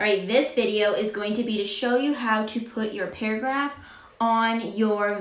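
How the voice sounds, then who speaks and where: Amid audible room echo, a woman with a bright, sharp tone speaks with ordinary pitch variation. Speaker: teacher. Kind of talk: tutorial. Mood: light, friendly. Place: home room.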